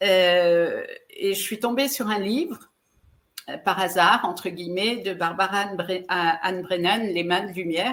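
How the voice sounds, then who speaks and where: A woman's medium-pitched voice with ordinary pitch variation, at a fairly slow pace. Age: 60s. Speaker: relationship coach and speaker. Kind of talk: interview. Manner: halting, with repeated words and fillers.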